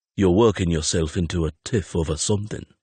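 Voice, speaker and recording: Rumbling and very deep, a man races along at a very fast pace in a put-on character voice. The sound is dry and close with no echo, over a quiet background. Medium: read story. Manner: quiet, terse, gentle.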